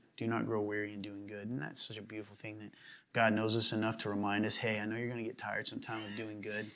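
Speaking with an American accent at a very fast pace, a man has a bright, sharp tone and monotone, flat intonation with big swings in loudness. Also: fairly low pitch for a man. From US South. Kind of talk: casual chat; reading scripture aloud. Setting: studio.

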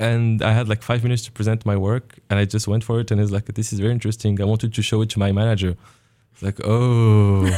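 Very fast and very even in loudness, a man talks in a fairly low pitch with a dark, mellow tone and flat, monotone intonation. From Morocco. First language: French or Arabic. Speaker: graduate exchange student in engineering. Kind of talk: radio interview. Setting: radio studio.

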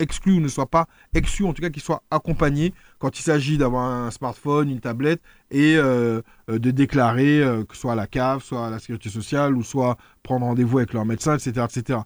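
On a very clean, dry recording with a close sound, no echo and a silent background, a man speaks at a medium pitch and moderate pace with ordinary pitch variation. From France. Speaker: local politician. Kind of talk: radio interview. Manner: halting, many fillers and repetitions.

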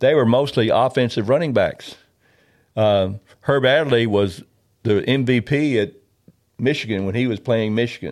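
A man with a Southern US accent, medium pitch and ordinary pitch variation, at a moderate pace with long, frequent pauses, on a very clean recording with a silent background. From Memphis, Tennessee. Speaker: retired pro football player. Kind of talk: interview storytelling. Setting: studio.

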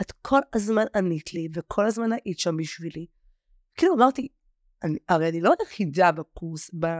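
In a dry, close sound with no echo, an unremarkable speaking voice moves at a moderate pace with lively intonation. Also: woman, medium pitch for a woman. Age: 40s. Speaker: former client of a weight-loss program. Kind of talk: interview.

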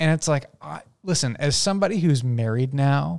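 With a normal speaking voice, a man of fairly high pitch speaks at a moderate pace with lively intonation. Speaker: guest, returning reviewer. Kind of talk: casual chat.

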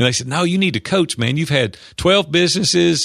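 A man talks at a fairly quick pace. He has a Tennessee accent. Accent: Tennessee Southern. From US South. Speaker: business coach and entrepreneur. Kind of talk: interview, storytelling.

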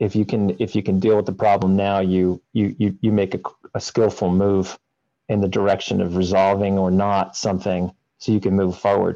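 Against a quiet background, a man speaks in a fairly low pitch with a dark, mellow tone, monotone, flat intonation, very even loudness and a moderate pace. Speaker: project developer, co-host. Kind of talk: casual chat. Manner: halting.

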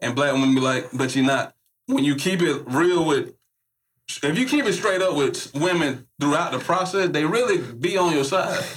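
A man's fairly high voice with an American accent, lively intonation, a moderate pace and very even loudness. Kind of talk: casual chat.

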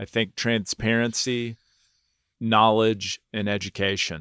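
Speaking with an American accent, a man uses a fairly low pitch and monotone, flat intonation at a very slow pace. The sound is dry and close, with no echo. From Texas, Houston. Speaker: school board candidate. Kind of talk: interview. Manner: halting.

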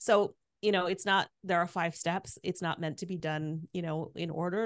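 A woman with an unremarkable speaking voice talks at a moderate pace, fairly low in pitch with ordinary pitch variation. The background is quiet, and the sound is dry and close with no echo. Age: 50s. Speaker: podcast host and midlife coach. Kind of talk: interview conversation. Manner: frequent fillers (um, like, you know).

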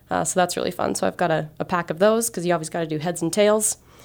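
Speech comes at a very fast pace on a very clean recording with a silent background. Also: woman. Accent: American. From Montana, US. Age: 30s. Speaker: soccer referee. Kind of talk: interview.

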